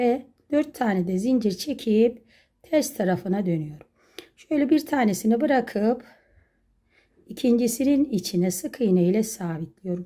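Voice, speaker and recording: The background is quiet as a woman speaks. Her pitch is fairly high and her tone dark and mellow. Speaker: crochet craft YouTuber. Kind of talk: tutorial. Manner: slow, step-by-step counting. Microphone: phone near.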